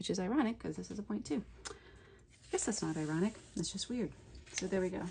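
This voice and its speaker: A quiet voice speaks at a moderate pace with ordinary pitch variation. Music plays in the background. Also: woman. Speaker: coloring book illustrator, art tutorial creator. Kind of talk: tutorial. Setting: home art studio. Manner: gets quiet while drawing; casual, conversational.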